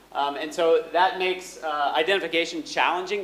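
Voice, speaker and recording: This man speaks at a moderate speed, his voice echoing audibly in the room over noticeable background noise. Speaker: economist, conference speaker. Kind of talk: academic conference talk. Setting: conference hall with audience. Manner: loud.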